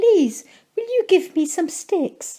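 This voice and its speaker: This is a put-on character voice with an extremely high pitch. It sounds squeaky. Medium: read story.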